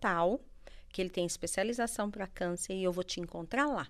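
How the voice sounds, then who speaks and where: In a normal speaking voice, a woman of medium pitch talks at a moderate pace with ordinary pitch variation. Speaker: life coach. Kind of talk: testimony. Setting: studio.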